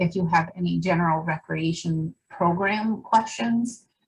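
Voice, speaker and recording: Somewhat breathy and at a medium pitch, a woman talks with fairly even intonation. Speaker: roundtable moderator. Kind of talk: online group discussion. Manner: mumbling.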